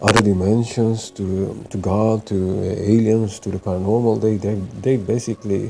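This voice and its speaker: Music plays in the background as a speaker with a non-native accent talks at a moderate pace in a monotone, flat intonation. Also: man. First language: not English. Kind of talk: casual spiritual talk to camera. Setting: close to the mic. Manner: hesitant, many fillers.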